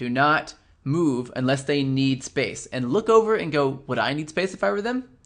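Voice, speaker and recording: A man speaks with a fairly high pitch and lively intonation. The background is quiet. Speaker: body language coach. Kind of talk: webinar lecture. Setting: online webinar. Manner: fast.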